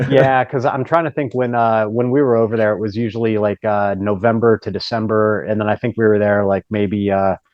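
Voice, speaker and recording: With an American accent, a man talks at a fairly quick pace, his intonation fairly even. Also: fairly low pitch for a man. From Ohio, US Midwest. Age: 40s. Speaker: strength and conditioning coach. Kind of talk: casual interview chat.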